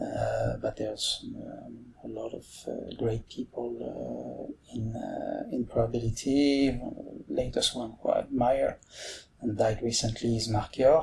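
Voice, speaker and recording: A man with a French accent speaks at a fairly slow pace. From France. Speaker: mathematics professor. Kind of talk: podcast interview. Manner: halting, many fillers.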